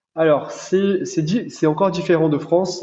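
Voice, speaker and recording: This man speaks with a slight Brazilian accent. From Brazil, centre of the country. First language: Portuguese (speaking French). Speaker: chiropractor. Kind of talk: podcast interview.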